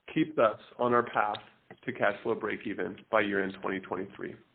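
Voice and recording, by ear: A man's slightly husky voice at a fairly quick pace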